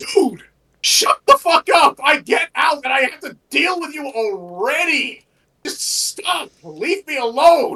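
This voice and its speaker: The put-on character voice is pitched high. It moves at a fairly slow pace. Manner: exasperated, weary, irritated.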